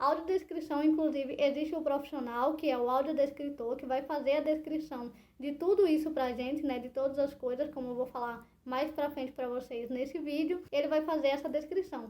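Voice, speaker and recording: With a dark, mellow tone and a high pitch, a woman talks at a fairly quick pace with fairly even intonation and hardly any pauses. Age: 20s. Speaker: YouTuber with low vision. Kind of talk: explainer vlog. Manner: conversational.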